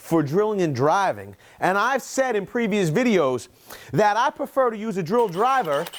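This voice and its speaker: Loud and animated, a man speaks at a fairly slow pace in a high pitch with very wide pitch swings. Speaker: construction tool reviewer. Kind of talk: product review.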